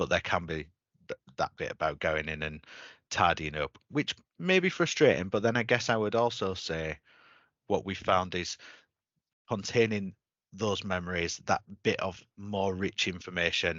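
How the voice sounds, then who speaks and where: Speaking at a moderate pace with long, frequent pauses, a man with a Yorkshire accent uses a very deep, low pitch and ordinary pitch variation. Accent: Yorkshire twang. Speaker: webinar host. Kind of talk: webinar discussion.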